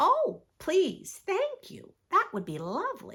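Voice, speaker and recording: Using a put-on character voice, a woman speaks at an extremely high pitch. The squeaky delivery moves at a fairly slow pace. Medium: read story. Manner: excitable.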